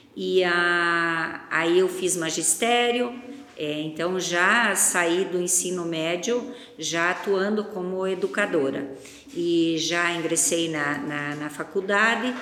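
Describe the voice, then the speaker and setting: Speaking at a very slow pace, a woman with a fairly low voice comes through audible room echo and noticeable background noise. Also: ordinary pitch variation. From northern Paraná, Brazil. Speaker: agribusiness co-founder. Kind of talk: interview.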